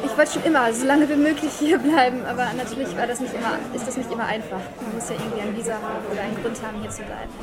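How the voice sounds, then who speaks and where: A woman with a fairly high pitch and ordinary pitch variation talks at a very fast pace with hardly any pauses. Crowd noise and audible room echo fill the background. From Germany, Düsseldorf. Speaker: maid café waitress. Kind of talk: interview. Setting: café.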